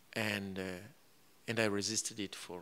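The tone is bright and sharp, with fairly even intonation. The delivery moves at a fairly quick pace. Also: man. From Rwanda. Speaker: author; guest. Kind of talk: live book event interview. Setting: stage with audience. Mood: reflective, recounting hardship. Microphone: handheld.

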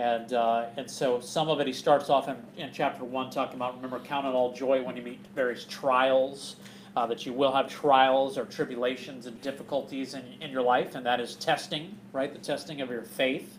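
A man's voice at a moderate pace, fairly even in intonation, over light background noise. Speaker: bible study teacher. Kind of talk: sermon. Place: hall. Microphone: camera far.

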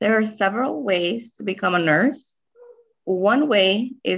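Against a quiet background, a woman speaks very slowly with ordinary pitch variation. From Guatemala, raised in US from age 7. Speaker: registered nurse; interviewee. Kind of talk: interview. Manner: hesitant, many fillers. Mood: warm, slightly emotional. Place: home room. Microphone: video call.

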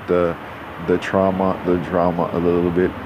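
Noticeable background noise is present. A man with a very deep, low pitch talks at a moderate pace. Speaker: gaming YouTuber. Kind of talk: gameplay commentary. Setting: home recording with headphones. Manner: rambling; repetitive.

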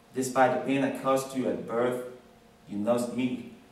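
Audible room echo surrounds the voice. The pace is fairly slow. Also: man. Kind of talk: formal tribute speech. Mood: earnest, grateful. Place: classroom. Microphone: camera far.

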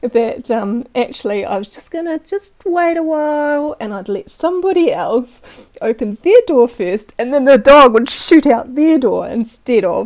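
A woman with a New Zealand accent talks at a fairly slow pace with lively intonation. The background is quiet. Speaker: storyteller. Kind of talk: personal story narration. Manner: casual, conversational. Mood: amused, cheerful. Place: home room. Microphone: lapel.

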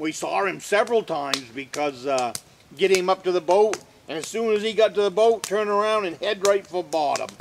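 A man talks in a relaxed tone at a high pitch with ordinary pitch variation. Light background noise sits behind him. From northern Maine. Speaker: off-grid woodsman and video host. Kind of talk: casual how-to talk, then folksy anecdote storytelling. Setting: outdoors at a log cabin, filmed on location. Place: forest.

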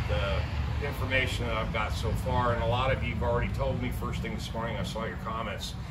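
Loud background noise runs through the clip. A man talks over it at a moderate pace. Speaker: van life vlogger. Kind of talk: casual vlog chat. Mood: somber, saddened. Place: street. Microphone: camera far.

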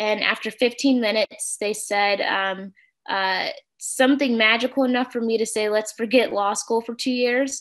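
Speaking at a moderate pace with an American accent, a woman uses a fairly high pitch and fairly even intonation against a quiet background. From St. Louis, Missouri, US. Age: 30s. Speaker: workshop facilitator. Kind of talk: interactive workshop on video call. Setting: video call. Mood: warm, friendly. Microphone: video call.

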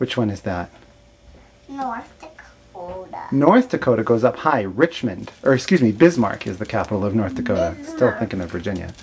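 Amid light background noise, a woman with a very deep, low voice talks at a fairly quick pace, with very wide pitch swings and big swings in loudness. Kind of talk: casual coaching talk to a child. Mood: patient, encouraging. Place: home room. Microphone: camera far.

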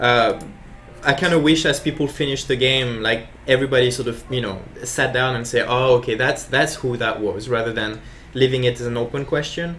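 A man speaks in an unremarkable speaking voice at a fairly quick pace and medium pitch. His intonation is fairly even, with light background noise. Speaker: game designer. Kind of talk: live gameplay commentary. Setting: livestream. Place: office.

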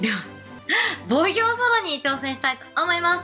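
A woman talks at a moderate pace in a raised, projected voice with very wide pitch swings while faint music plays in the background. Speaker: game streamer. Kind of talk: casual gameplay commentary.

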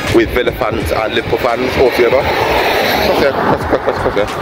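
Loud background noise in a dry sound with no echo. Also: man. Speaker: football fan vlogger. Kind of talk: casual vlog chat. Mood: upbeat, chatty. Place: street. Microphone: phone near.

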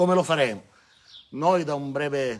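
A man's fairly even intonation over light background noise. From Calabria, Ardore area (Reggio Calabria). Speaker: local election candidate. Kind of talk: campaign speech. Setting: outdoors in front of a church, live-streamed. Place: street. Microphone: camera far.

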